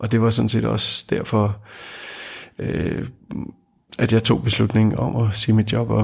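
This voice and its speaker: A man's fairly low, somewhat breathy voice with monotone, flat intonation. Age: 50s. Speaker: job seeker, former IT and insurance worker. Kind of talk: interview testimony. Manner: halting, many fillers and repetitions.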